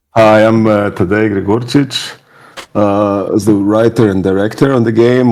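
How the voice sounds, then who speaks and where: A man with a Slovenian accent and a fairly low pitch at a fairly slow pace. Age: middle-aged. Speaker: game writer and director. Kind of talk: video interview.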